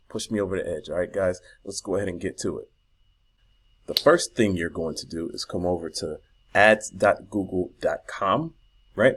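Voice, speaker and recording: A man with an American accent speaks at a moderate pace with long, frequent pauses in a very clean recording with a silent background. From US South. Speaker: online marketing youtuber. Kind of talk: tutorial. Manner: casual, animated.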